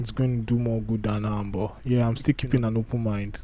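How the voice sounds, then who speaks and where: Medium-pitched male speech in a non-native accent. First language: not English. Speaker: YouTuber reacting to videos. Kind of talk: casual live reaction commentary. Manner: casual, halting with restarts.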